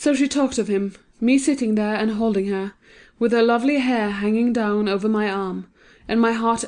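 This is an unremarkable speaking voice with fairly even intonation. It goes at a moderate speed over a quiet background. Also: woman. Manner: shifts into different character voices for dialogue.

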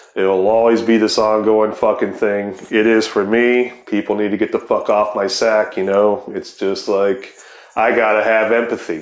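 Noticeable background noise surrounds a man speaking at a moderate pace. His pitch is fairly low and his intonation flat and monotone. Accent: American. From Ohio. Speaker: podcast host. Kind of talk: casual chat.

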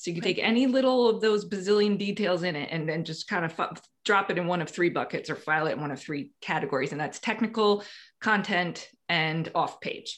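Against a quiet background, a woman with an unremarkable speaking voice talks fairly quickly at medium pitch, with ordinary pitch variation. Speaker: SEO consultant. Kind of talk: casual interview.

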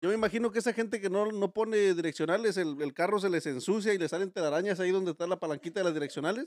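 The man speaks at a very fast pace with ordinary pitch variation, and the sound is dry and close with no echo. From Mexico, Guerrero. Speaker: podcast host. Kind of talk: casual chat.

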